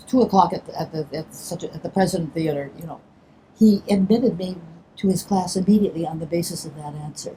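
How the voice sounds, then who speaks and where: A woman in an American accent, fairly low in pitch and very fast, with ordinary pitch variation, big swings in loudness, and noticeable background noise. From Chicago. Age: 80s+. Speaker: stage actor. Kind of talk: interview answer. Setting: outdoors.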